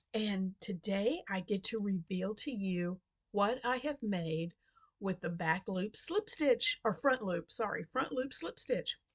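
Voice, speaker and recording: The voice is quiet and somewhat breathy, at a very slow pace. The sound is dry and close, with no echo. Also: woman, medium pitch for a woman, lively intonation. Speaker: crochet video creator. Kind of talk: casual crafting vlog. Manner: quiet, hushed.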